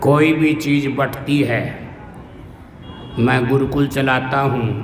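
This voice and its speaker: Noticeable background noise and audible room echo surround a man whose medium-pitched voice has a monotone, flat intonation. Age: 70s. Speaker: religious teacher. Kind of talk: sermon.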